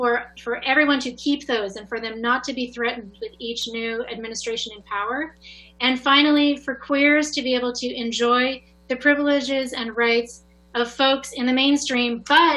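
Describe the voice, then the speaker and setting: Raised and projected, the woman's bright, sharp, high-pitched voice moves at a moderate pace with fairly even intonation and big swings in loudness. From New Brunswick, Canada. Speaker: artist and educator. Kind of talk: artist presentation.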